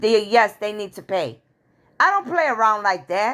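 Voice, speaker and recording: Delivered at a moderate pace, the voice sounds animated, with lively, bouncing intonation. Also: woman. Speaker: spiritual video creator. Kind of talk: spiritual monologue to viewers. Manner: loud.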